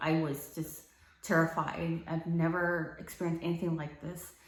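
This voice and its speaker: A woman speaks at a fairly low pitch, and audible room echo surrounds her voice. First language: not English. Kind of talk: personal testimony to camera. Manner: halting, many fillers.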